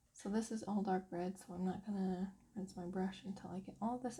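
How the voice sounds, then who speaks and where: Her voice has a dark, mellow tone, somewhat breathy, and this woman speaks with monotone, flat intonation. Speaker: coloring hobbyist. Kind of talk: craft tutorial talk.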